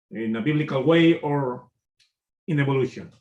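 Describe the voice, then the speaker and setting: With a non-native accent, a man speaks at a medium pitch and a fairly slow pace. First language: Spanish. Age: 50s. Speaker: YouTuber commentator. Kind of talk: monologue commentary. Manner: halting, many fillers.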